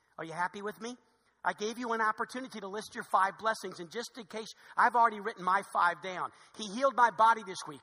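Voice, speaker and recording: Raised and projected, a man's high-pitched voice carries lively intonation. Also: big swings in loudness. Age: 50s. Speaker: pastor. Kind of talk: sermon. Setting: church. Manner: fast.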